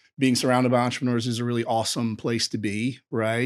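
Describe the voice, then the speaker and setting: Someone speaks at a very fast pace in a Southern US accent. The recording is very clean with a silent background. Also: man. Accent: Southern US (Georgia). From US South, rural Georgia. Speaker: entrepreneur. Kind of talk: podcast interview.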